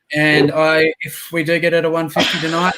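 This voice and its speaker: There is noticeable background noise as a man with an Australian accent speaks at a high pitch with fairly even intonation. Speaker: podcast host and reseller. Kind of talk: casual chat.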